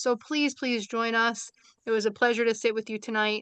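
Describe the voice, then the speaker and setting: The delivery is very fast, with a bright, sharp tone. The sound is dry and close with no echo, against a quiet background. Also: woman. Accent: New York. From New York, Brooklyn. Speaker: seminar series organizer and social work educator. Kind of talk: closing remarks at online seminar. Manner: casual, with many fillers.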